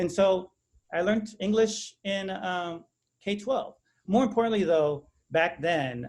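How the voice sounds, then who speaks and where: A high-pitched man at a fairly slow pace with long, frequent pauses and ordinary pitch variation. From Texas, San Antonio west side. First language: Spanish. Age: 40s. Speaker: academic speaker. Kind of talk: presentation.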